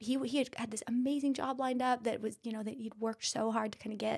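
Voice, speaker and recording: Soft-spoken, a woman talks with an American accent. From Idaho, US. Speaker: physician assistant and aesthetics business owner. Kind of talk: casual interview.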